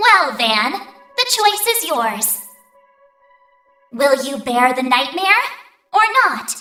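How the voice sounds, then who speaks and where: In a cartoonish character voice, a female-sounding speaker goes very slowly at a high pitch with very wide pitch swings and long, frequent pauses, over faint background music and a slight echo. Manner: casual, flippant.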